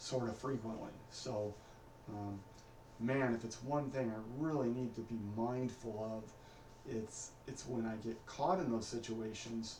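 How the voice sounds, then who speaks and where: A man of medium pitch mumbles at a fairly slow pace with fairly even intonation, with audible room echo and noticeable background noise. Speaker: vlogger practicing his speech. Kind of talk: personal video diary. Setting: recording alone at home on camera. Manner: mumbling; hesitant, many fillers.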